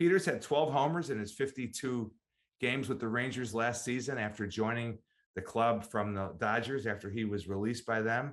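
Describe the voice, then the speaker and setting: A man with a normal speaking voice and medium pitch talks at a moderate pace against a quiet background. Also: ordinary pitch variation. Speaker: podcast host. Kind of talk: casual chat.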